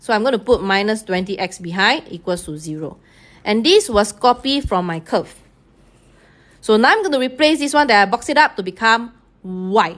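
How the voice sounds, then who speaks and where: With a Singaporean accent, a woman speaks at a moderate pace in a fairly high voice. Her intonation is lively. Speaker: math teacher. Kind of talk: live-streamed tutorial. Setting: online live stream.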